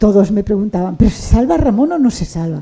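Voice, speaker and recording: A woman's medium-pitched voice, dark and mellow in tone and somewhat breathy. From Catalonia, Barcelona. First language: Catalan (speaking Spanish). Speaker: writer. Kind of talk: interview conversation. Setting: bookshop event with audience.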